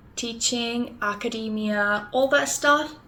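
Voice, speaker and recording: A woman speaks at a fairly slow pace with lively intonation and a fairly high pitch. Noticeable background noise runs under her voice. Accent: Spanish. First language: Spanish. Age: 20s. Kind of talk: casual vlog talk.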